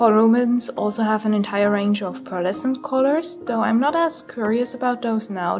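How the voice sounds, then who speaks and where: This woman talks at a moderate pace and a fairly high pitch, with noticeable background noise behind her. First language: not English. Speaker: artist reviewing art supplies. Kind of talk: voiceover narration of art review.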